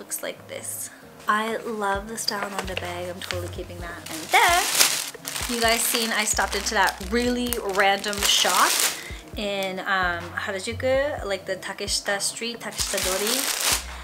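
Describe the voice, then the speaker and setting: Music behind a woman's fairly slow speech. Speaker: vlogger. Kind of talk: casual vlog chat. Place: home room. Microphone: camera far.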